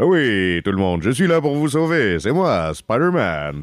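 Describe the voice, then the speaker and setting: A put-on character voice booms out at a moderate pace with very wide pitch swings. Its loudness stays very even throughout. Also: man, medium pitch for a man. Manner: heroic, booming.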